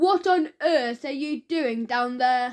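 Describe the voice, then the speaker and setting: A woman's loud, shouted put-on character voice, high-pitched, with ordinary pitch variation and a very slow pace. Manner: booming, shouting.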